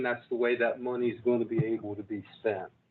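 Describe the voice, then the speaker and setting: Man at a moderate pace. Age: 60s. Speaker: public broadcasting executive. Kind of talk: board meeting remarks. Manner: halting, many fillers.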